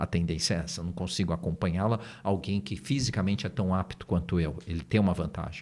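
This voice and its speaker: A very deep, low male voice at a very fast pace with ordinary pitch variation. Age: 60s. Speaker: NLP trainer and business partner. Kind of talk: podcast interview. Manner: casual, hesitant with fillers.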